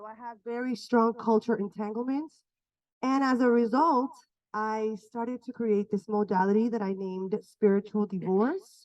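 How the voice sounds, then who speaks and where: A woman with an ordinary speaking voice talks at a moderate pace and fairly high pitch. Her intonation is fairly even while her loudness swings widely. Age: 40s. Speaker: healing workshop facilitator. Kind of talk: workshop talk.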